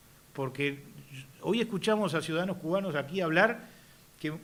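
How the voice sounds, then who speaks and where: A man at a moderate pace, in a Uruguayan accent. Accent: Rioplatense Spanish (Uruguayan). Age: 60s. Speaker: politician. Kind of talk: speech. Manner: halting, many fillers.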